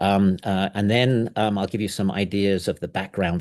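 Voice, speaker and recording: Against a quiet background, a man with an English accent speaks at a fairly low pitch. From England. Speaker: professor. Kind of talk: lecture. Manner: fast; halting, many fillers.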